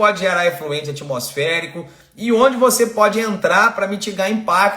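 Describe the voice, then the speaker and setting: A man with a high pitch speaks at a fairly slow pace, his tone animated and his intonation lively. Audible room echo surrounds his voice. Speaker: environmental consultant and online course host. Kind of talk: live-stream lecture. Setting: live stream. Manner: animated, engaging.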